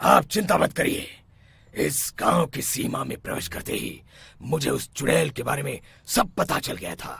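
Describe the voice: A man's cartoonish character voice, raspy and fairly high, at a moderate pace with big swings in loudness.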